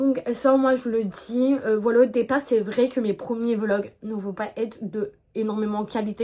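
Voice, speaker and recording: A woman speaks with a dark, mellow tone at fairly high pitch. Her intonation stays fairly even. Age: 20s. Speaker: equestrian YouTuber. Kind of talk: casual vlog monologue. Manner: hesitant, many fillers.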